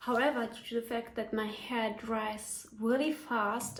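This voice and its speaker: A woman's fairly high voice in a German accent, ordinary pitch variation, noticeable background noise. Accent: non-native English, German. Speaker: hair tutorial YouTuber. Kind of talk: casual tutorial talk to camera.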